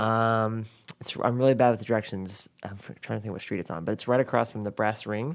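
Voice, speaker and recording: This is an ordinary speaking voice on a very clean recording with a silent background. The pace is fairly quick and the intonation fairly even. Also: man, fairly low pitch for a man. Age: 20s. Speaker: filmmaker. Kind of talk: casual chat.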